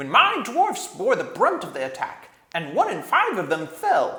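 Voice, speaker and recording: In a put-on character voice, a man talks at an extremely high pitch and a moderate pace. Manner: angry.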